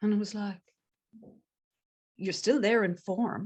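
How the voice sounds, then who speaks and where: A woman with an Irish accent, at a fairly slow pace. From Ireland, Galway. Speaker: transformative coach. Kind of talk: casual interview chat.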